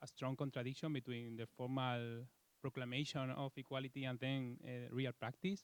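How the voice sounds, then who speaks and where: In a Spanish accent, a man speaks at a moderate pace and medium pitch with monotone, flat intonation, the sound dry and close with no echo. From Spain. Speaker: law professor. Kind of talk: self-introduction at academic meeting. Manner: halting, many fillers.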